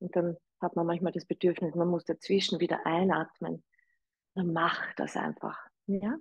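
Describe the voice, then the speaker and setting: Breathing a little audibly, a woman speaks in a calm, soothing tone at a fairly low pitch with monotone, flat intonation. The sound is dry with no echo, and the background is quiet. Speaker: yoga teacher. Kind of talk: guided meditation and breathing instruction. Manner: slow, calm, soothing, gentle; inviting, soft-spoken. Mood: calm, soothing guidance. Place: home room.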